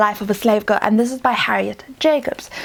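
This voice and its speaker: A woman speaks with a fairly high pitch and fairly even intonation. Noticeable background noise runs behind her. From South Africa. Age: 20s. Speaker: literature student, book reviewer. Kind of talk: casual talk to camera.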